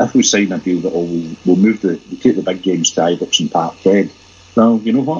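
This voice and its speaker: Fairly quick delivery in a Glaswegian accent, with ordinary pitch variation. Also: man, very deep, low pitch for a man. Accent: Glaswegian Scottish. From Glasgow, Scotland. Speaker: football fan site editor. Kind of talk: casual chat.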